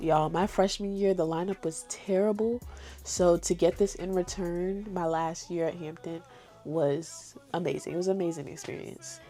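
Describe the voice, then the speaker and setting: Music plays in the background as a woman talks. Her pace is moderate and her intonation fairly even. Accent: American. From New York. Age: 20s. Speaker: college student. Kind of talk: casual talk to camera.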